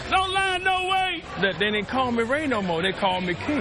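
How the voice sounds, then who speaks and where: With an American accent, a man speaks amid audible room echo and crowd noise in the background. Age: 60s. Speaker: stadium beer vendor. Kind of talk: casual interview and vending calls. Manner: animated.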